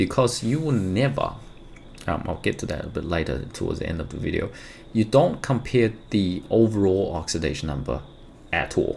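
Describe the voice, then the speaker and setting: At a moderate pace, the speaker uses very wide pitch swings and has a non-native accent. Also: man, fairly low pitch for a man. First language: not English. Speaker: chemistry teacher. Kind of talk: tutorial. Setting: recording at home during lockdown. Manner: spontaneous, conversational.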